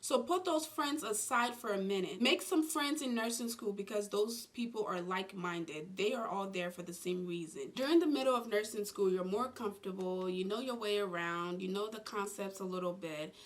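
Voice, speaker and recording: Noticeable background noise sits behind a woman speaking at medium pitch and a moderate pace. Her intonation is lively, and she hardly pauses. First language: not English. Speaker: nurse and YouTuber. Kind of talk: advice vlog.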